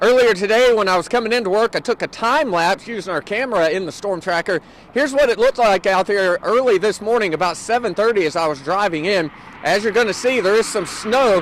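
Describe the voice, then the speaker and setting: Noticeable background noise accompanies delivery at a fairly quick pace. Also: man. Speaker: TV meteorologist. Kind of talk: weathercast montage.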